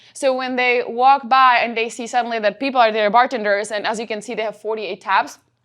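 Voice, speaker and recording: Speaking in a Czech accent, a woman uses a fairly high pitch and monotone, flat intonation at a fairly quick pace. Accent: noticeable Czech. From Czech Republic. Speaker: company trainer and presenter. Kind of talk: workshop presentation.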